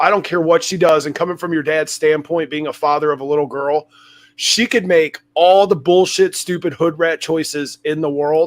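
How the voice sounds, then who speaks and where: In a very clean recording with a silent background, a man with a normal speaking voice and a fairly high pitch talks at a moderate pace with fairly even intonation. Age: 40s. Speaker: podcast host, former felon in recovery. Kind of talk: casual interview chat.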